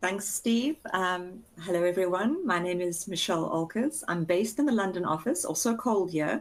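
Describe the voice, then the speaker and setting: The speaker has a South African accent and a moderate pace with hardly any pauses. Intonation is lively and loudness very even. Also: woman, medium pitch for a woman. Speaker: chartered accountant. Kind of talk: webinar introduction.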